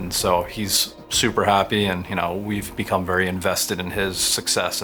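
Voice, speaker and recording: A man's very deep, low voice in monotone, flat intonation, with music in the background. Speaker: oral surgeon. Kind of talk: interview answer.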